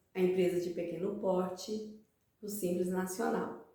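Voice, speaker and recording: A woman's fairly even intonation, with audible room echo. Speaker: accounting teacher, channel host. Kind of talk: tutorial.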